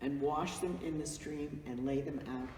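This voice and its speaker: Noticeable background noise accompanies a woman whose voice is very deep and low. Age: old. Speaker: family matriarch of a vineyard. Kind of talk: reminiscing interview to camera.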